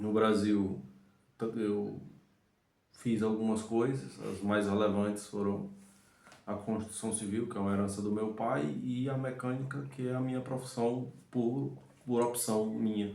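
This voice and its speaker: A man with a Ceará accent speaks at a fairly slow pace, with long, frequent pauses. His pitch is fairly low with ordinary variation, and there is audible room echo. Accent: Brazilian Portuguese, Northeastern (Cearense). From Brazil, Fortaleza, Ceará (Northeast). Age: 30s. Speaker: mechanic, immigrant vlogger. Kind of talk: casual chat.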